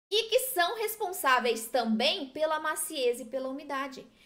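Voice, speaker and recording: A woman speaks in a raised, projected voice with a bright, sharp, animated tone. Her high pitch moves in very wide swings. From southern Brazil. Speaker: gluten-free baking teacher. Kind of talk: live-stream tutorial.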